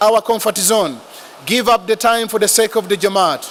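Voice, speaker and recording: A man's voice sits high in pitch, and noticeable noise can be heard in the background. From Africa. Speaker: religious speaker. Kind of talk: speech.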